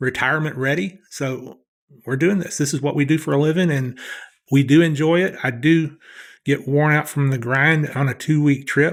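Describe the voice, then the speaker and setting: With a Southern US accent, a man talks at a fairly quick pace in a fairly high pitch. His intonation is fairly even, and the recording is very clean with a silent background. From US Southeast. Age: 60s. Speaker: professional blackjack player. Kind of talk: podcast interview.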